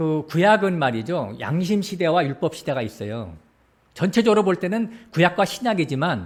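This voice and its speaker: Heard on a very clean recording with a silent background, a man speaks at a high pitch with very wide pitch swings. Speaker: pastor. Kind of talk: sermon. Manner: fast.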